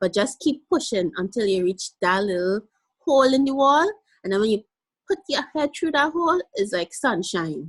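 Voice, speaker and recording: A woman with a fairly high pitch talks at a moderate pace with very wide pitch swings, in a dry, close sound with no echo. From Guyana. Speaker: small business owner. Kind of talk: interview. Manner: animated.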